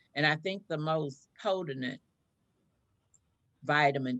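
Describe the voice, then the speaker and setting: A woman speaks at a very deep, low pitch. Her pace is very slow. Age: 70s. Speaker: chaplain and product distributor. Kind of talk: interview, product pitch.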